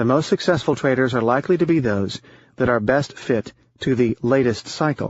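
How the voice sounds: Natural-sounding reading voice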